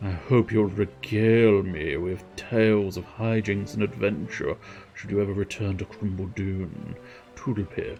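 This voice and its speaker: A man uses a put-on character voice at a fairly low pitch and a moderate pace. Clear music plays in the background. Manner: silly, theatrical.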